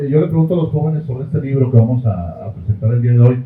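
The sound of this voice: Room echo is audible as a man speaks at medium pitch with ordinary pitch variation.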